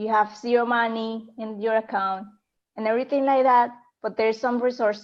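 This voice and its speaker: A woman's high-pitched voice at a moderate pace. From Colombia. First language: Spanish. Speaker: online business coach. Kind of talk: interview. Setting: Facebook Live video call. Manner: halting.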